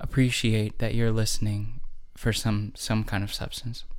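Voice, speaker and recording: A man at a medium pitch in an ordinary speaking voice, with ordinary pitch variation, on a very clean recording with a silent background. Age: 30s. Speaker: podcast host and memoir author. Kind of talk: casual solo monologue.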